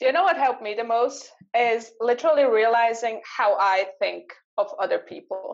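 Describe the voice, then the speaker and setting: At a moderate pace, a woman with a German accent talks at a fairly high pitch with ordinary pitch variation. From Switzerland. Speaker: mindset coach. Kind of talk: interview.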